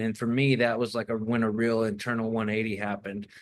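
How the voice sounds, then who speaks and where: Against a quiet background, a man with a Southern US accent talks at a fairly quick pace and a medium pitch. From US South, Arkansas Ozarks. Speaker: documentary filmmaker. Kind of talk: casual chat. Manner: halting.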